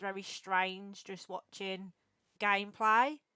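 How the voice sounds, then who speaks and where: Speaking in an English Midlands accent, a woman has a medium pitch and a bright, sharp tone, with a dry, close sound and no echo. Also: very clean recording, silent background. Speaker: streamer and podcast host. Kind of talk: casual interview chat. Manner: casual, filler-heavy.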